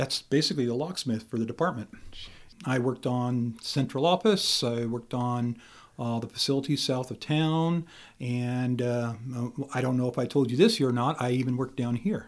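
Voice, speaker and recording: Recorded very cleanly against a silent background, a man with an American accent speaks at a medium pitch and a moderate pace with ordinary pitch variation. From Idaho, Camas County. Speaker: prison warden. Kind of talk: interview. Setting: studio. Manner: halting.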